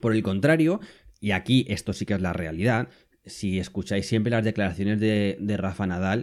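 The recording is very clean with a silent background as a man with an ordinary speaking voice talks at a moderate pace and a fairly low pitch. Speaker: podcast host. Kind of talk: solo podcast monologue. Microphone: new microphone.

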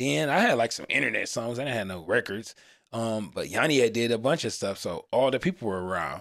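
A man speaks at a fairly quick pace in an ordinary speaking voice with an American accent and lively intonation. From Cleveland, Ohio, US Midwest. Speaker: music producer. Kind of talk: casual chat.

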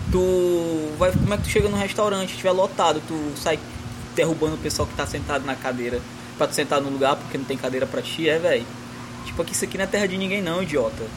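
A man with a fairly high voice talks very fast, with ordinary pitch variation, as noticeable background noise plays. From Northeast Brazil. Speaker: podcast host, fiction author. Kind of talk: casual chat.

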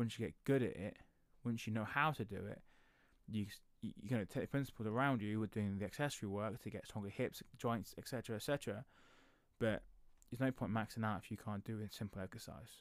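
Speaking fairly quickly with an English accent, a man keeps a medium pitch and ordinary pitch variation. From England. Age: 30s. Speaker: podcast host, powerlifting coach. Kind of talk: solo podcast monologue. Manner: casual, with many fillers.

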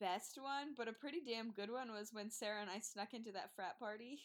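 Speaking with a New Jersey accent, a woman talks at a fairly quick pace with fairly high pitch and ordinary pitch variation. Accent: New Jersey American. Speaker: veterinary student. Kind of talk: casual chat.

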